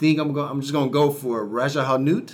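With an ordinary speaking voice, a man speaks at a medium pitch with fairly even intonation. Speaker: podcast host. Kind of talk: podcast interview, sponsor read.

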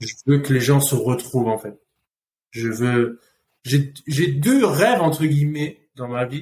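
Somewhat breathy and fairly high in pitch, a man talks at a very slow pace. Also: ordinary pitch variation, big swings in loudness. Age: 30s. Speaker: food company co-founder. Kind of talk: casual chat. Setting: in person, Phuket, Thailand.

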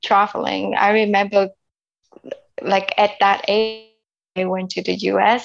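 A woman with a Vietnamese accent at a medium pitch. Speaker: immigrant sharing life story. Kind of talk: interview. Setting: internet call. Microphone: unstable internet connection.

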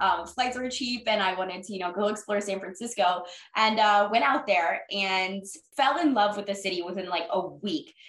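A woman with an American accent and an unremarkable speaking voice, at a moderate pace, medium pitch, and ordinary pitch variation. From Jacksonville, Florida. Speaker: sports reporter and podcast host. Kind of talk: casual chat.

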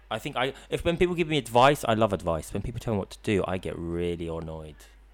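At a very fast pace, a man with fairly low pitch swings his pitch very widely. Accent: London. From London (Queensbury). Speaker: student and drone operator. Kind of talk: casual chat. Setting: studio.

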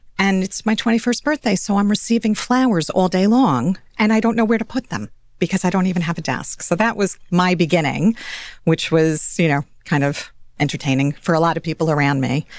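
Against a quiet background, a woman with an American accent and an unremarkable speaking voice talks fairly quickly at a medium pitch with lively intonation. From New York (Scarsdale). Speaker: financial advisor. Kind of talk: interview.

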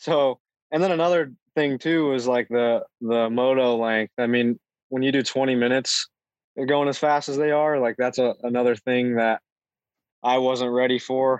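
Speaking at a moderate pace, a man with a plain, everyday voice and medium pitch keeps fairly even intonation and very even loudness in a dry, close sound with no echo. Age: 20s. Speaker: pro ATV racer. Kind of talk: casual interview chat.

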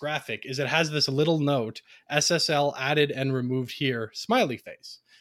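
A man speaks with a Canadian accent at a moderate pace in a normal speaking voice. His pitch is fairly high. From Ontario, Canada. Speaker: free software advocate, tech support background. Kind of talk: presentation with slides in a round-table chat.

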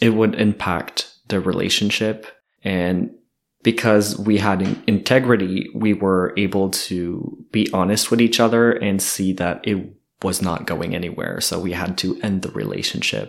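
A man with a fairly low voice speaks in a monotone, flat intonation at a fairly slow pace. The recording is very clean, with a silent background. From New Brunswick, Canada (Kedgewick). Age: 20s. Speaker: social work student. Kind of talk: casual chat.

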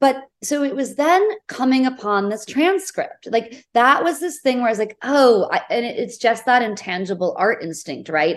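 A woman with an American accent speaks in very wide pitch swings with hardly any pauses. The background is quiet. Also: moderate pace. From New England, US. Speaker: theatre and film director. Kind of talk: interview. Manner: casual, full of fillers.

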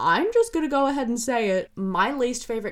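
Here a woman talks at a moderate pace. She has lively intonation and an unremarkable speaking voice. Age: 20s. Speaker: film review podcaster. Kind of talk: solo podcast review.

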